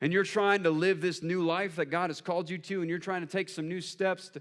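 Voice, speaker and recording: A man's high-pitched voice at a fairly quick pace. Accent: American. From US South. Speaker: pastor. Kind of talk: sermon. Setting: church service with audience. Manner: animated.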